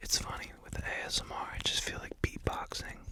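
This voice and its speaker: A man whispers. Background noise is noticeable. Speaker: ASMR creator and musician. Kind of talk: ASMR talk to camera, casual and calming. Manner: soft, calming, slow, whispered.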